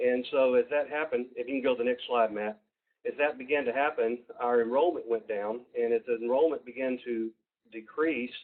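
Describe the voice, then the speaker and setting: Speaking fairly quickly with a Southern US accent, a man keeps his intonation fairly even. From US South, Georgia. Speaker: university program presenter. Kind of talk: webinar presentation. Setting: online webinar. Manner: halting, many fillers.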